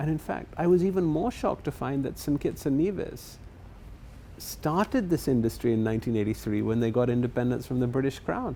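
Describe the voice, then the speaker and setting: A man speaks at medium pitch with a dark, mellow tone. His pace is fairly quick. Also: lively intonation. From England. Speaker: property developer. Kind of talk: interview.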